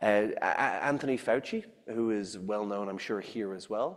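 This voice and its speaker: A man with an Irish accent speaks at a moderate pace and medium pitch, with ordinary pitch variation. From Ireland. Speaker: scientist and science writer. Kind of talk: public lecture.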